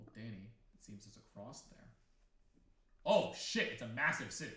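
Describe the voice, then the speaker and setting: The room echo is audible as a man speaks at a moderate pace. His loudness swings widely. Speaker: video co-host. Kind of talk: casual commentary. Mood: joking, exclaiming. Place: home room.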